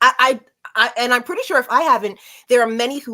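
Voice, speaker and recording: A woman speaks loudly at a fairly quick pace, her voice high and her tone bright and sharp. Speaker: show host. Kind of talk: casual chat.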